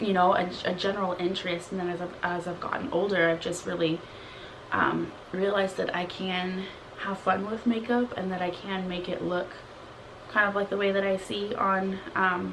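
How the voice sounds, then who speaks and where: Soft-spoken and flat, a woman talks in a monotone at a moderate pace, with audible room echo and noticeable background noise. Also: medium pitch for a woman. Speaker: beauty and lifestyle vlogger. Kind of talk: casual chat.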